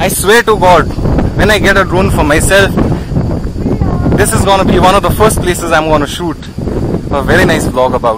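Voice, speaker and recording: A man's voice, dry with no echo, full of long, frequent pauses, over loud background noise. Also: ordinary pitch variation, moderate pace. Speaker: travel vlogger. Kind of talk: casual vlog chat. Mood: excited, admiring the view. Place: open country. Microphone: phone near.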